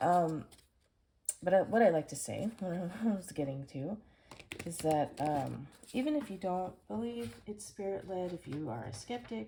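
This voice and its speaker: Somewhat breathy and fairly low-pitched, a woman speaks at a fairly slow pace. Her pitch swings very widely and her loudness shifts a lot. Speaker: tarot card reader. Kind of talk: tarot reading monologue. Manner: hesitant, many fillers.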